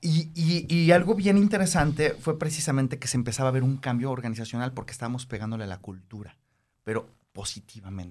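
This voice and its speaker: Talking at a very fast pace, a man with a medium pitch and a somewhat breathy voice makes very wide pitch swings and big swings in loudness. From Mexico City. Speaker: karate practitioner and business consultant. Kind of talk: interview.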